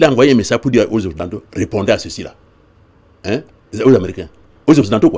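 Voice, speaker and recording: A very fast, somewhat breathy male voice with a dark, mellow tone. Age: 70s. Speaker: political activist. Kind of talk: TV interview. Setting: TV studio. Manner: halting, many repetitions.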